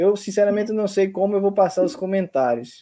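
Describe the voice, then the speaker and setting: A man speaks at a fairly quick pace against a quiet background. His voice has a dark, mellow tone. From Brazil, Paraíba. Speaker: university professor. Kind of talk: online event hosting.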